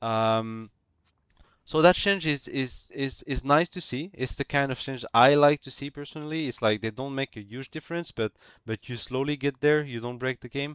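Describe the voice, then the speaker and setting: Carrying a non-native accent, a man speaks at a moderate pace and fairly high pitch, with ordinary pitch variation and big swings in loudness. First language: not English. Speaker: gaming YouTuber. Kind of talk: casual commentary. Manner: halting, many fillers and repetitions.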